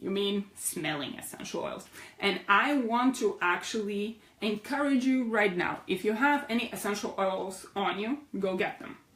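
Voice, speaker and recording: A woman with a non-native accent and a medium pitch, moderate pace and ordinary pitch variation, over noticeable background noise. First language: not English. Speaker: essential oils educator. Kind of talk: online class. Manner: animated.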